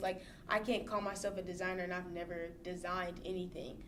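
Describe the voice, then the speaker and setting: A woman's monotone, flat voice at a fairly quick pace, with noticeable background noise and audible room echo. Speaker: fashion designer and stylist. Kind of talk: casual interview chat.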